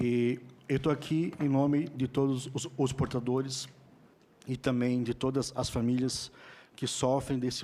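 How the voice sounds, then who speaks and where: Speaking at a fairly slow pace, a man uses a medium pitch and a dark, mellow tone, his intonation monotone and flat. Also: very clean recording, silent background. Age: 30s. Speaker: person with Tourette syndrome, psychopedagogy student. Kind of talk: testimony at a Senate hearing. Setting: Senate hearing room. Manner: halting, repeated words.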